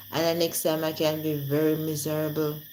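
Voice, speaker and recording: A woman speaks with a Jamaican accent at a moderate pace. Room echo is audible. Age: 40s. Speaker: live streamer. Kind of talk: casual live-stream chat. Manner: animated.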